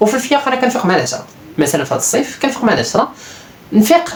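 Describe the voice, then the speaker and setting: Someone with a Moroccan accent speaks over noticeable background noise. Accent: Moroccan Darija. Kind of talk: casual self-improvement talk to camera.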